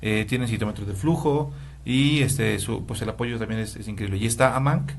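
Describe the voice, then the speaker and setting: A man's medium-pitched voice with vocal fry, a fairly quick pace and lively intonation, plus audible room echo. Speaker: hematologist. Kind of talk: interview. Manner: fast.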